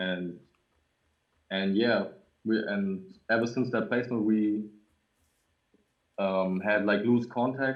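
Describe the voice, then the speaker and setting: Long pauses come often in this very slow speech. The intonation is fairly even. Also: man, fairly low pitch for a man. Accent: German. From Germany. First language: German. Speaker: music producer. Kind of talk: casual interview. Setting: livestreamed video call. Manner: halting.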